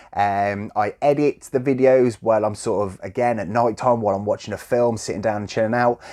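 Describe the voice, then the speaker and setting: A man with a Midlands accent talks at a fairly quick pace with hardly any pauses. His medium-pitched voice has a dark, mellow tone and fairly even intonation. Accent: mild generic Midlands. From West Midlands, England (Coventry). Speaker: YouTuber, game collector. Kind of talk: casual Q&A chat. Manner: informal, filler-heavy.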